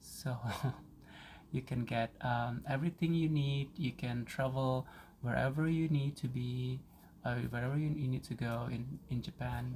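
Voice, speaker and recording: A man with a medium pitch speaks at a fairly slow pace. His voice is somewhat breathy, with fairly even intonation. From Indonesia. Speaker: vlogger. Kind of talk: personal diary vlog. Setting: at home. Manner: halting.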